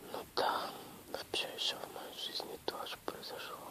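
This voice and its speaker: A woman whispers at a fairly slow pace, with noticeable background noise behind her. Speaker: ASMR video creator. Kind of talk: casual talk to camera. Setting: home, lying in bed. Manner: quiet, soft-spoken.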